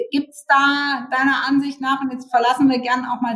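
A woman's voice with a high pitch. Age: 50s. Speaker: podcast host and founder. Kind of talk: podcast interview.

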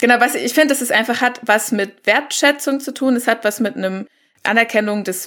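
Using a plain, everyday voice, a woman talks at a moderate pace with a fairly high pitch and fairly even intonation. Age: young. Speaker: climate activist. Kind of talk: panel discussion.

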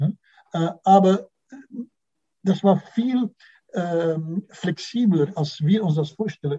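With a Dutch accent, a man talks at a high pitch in a dark, mellow tone, using ordinary pitch variation at a very slow pace. Long, frequent pauses break his speech, and the sound is dry and close with no echo. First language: Dutch (speaking German). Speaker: music historian. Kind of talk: interview. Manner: halting, many fillers.

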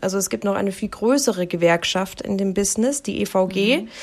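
Pitch varies in an ordinary way while the speech keeps a moderate pace. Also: woman. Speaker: podcast co-host, news presenter. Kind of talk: casual chat. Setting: on holiday abroad, remote recording.

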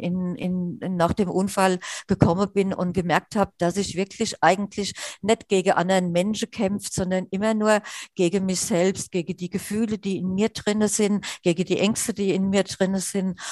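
Against a quiet background, a woman speaks at a medium pitch and a moderate pace with a strong Hessian accent and a monotone, flat intonation. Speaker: wheelchair user and accessibility activist. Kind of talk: interview. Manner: halting with many fillers.

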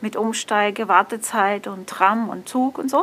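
This woman talks very slowly. Her voice is fairly high. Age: 40s. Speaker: blind restaurant worker. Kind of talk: interview about travel experiences. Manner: halting with many fillers.

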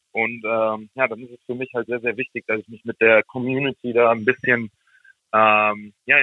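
A man speaking at a moderate pace. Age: 20s. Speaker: ice hockey player. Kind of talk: interview. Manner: halting, many fillers.

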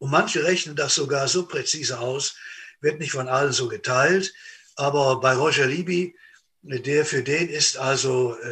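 A man's fairly high, bright and sharp voice moves at a very slow pace with ordinary pitch variation. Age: old. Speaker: preacher. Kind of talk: sermon.

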